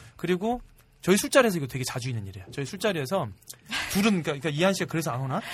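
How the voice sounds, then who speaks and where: Talking at a very fast pace, a man with a high voice swings very widely in pitch and makes big swings in loudness. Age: middle-aged. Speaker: film and web drama director. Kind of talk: casual chat.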